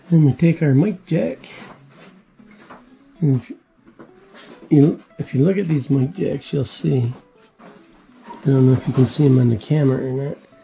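At a fairly slow pace with long, frequent pauses, the speaker shows ordinary pitch variation while faint music plays in the background. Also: man. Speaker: hobbyist radio channel host. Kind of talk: tutorial. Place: workshop.

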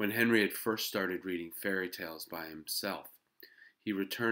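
Against a quiet background, the plain reading aloud shows ordinary pitch variation.

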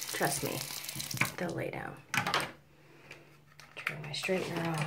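Over loud background noise, a woman speaks at a fairly slow pace. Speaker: beauty vlogger. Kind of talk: hair tutorial talk to camera. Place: home room. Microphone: phone near.

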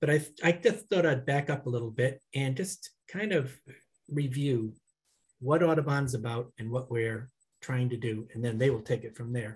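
A somewhat breathy man speaks at a moderate pace with ordinary pitch variation. The background is quiet. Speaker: executive director of a nonprofit. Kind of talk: welcome remarks. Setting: video call. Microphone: headset.

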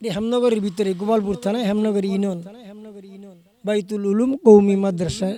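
Noticeable background noise sits behind a man speaking at a high pitch with fairly even intonation. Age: 60s. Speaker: madrasa teacher and mosque preacher. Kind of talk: interview. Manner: halting.

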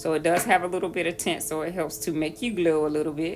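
Over music in the background, a woman with a very deep, low pitch talks at a fairly quick pace with ordinary pitch variation. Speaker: skincare vlogger. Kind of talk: tutorial. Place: bathroom. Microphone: phone near.

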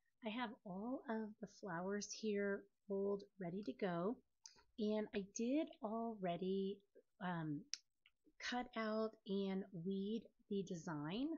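A woman's somewhat breathy, medium-pitched voice at a very slow pace, with long, frequent pauses and ordinary pitch variation. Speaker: craft tutorial youtuber. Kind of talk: tutorial.

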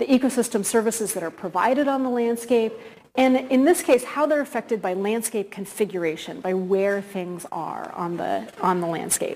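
A woman's lively intonation at a moderate pace. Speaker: guest academic lecturer. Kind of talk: lecture. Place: hall.

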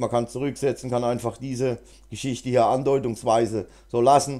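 Very clean recording with a silent background, a man speaking at a moderate pace. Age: 50s. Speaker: GIMP tutorial YouTuber. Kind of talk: tutorial; casual chat. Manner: hesitant, many fillers.

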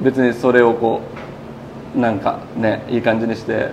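Over clear background noise, a man speaks at a moderate pace with little pitch movement. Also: medium pitch for a man.

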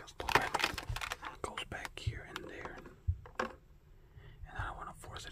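Someone whispers at a moderate pace. Noticeable background noise runs beneath it. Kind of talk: ASMR whispering while handling toys. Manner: whispered.

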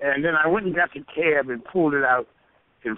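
Here is a normal speaking voice from a man with a fairly high pitch. He talks at a fairly quick pace. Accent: American. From US. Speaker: stage and screen actor. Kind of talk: interview storytelling. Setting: phone call.

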